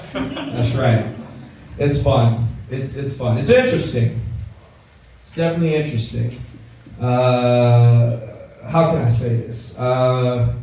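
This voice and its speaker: With an American accent, a man at medium pitch speaks very slowly, leaving long, frequent pauses and swinging widely in loudness. Noticeable background noise and audible room echo fill the recording. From Los Angeles, US West Coast. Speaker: stand-up comedian. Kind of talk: stand-up. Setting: stage with audience. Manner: animated.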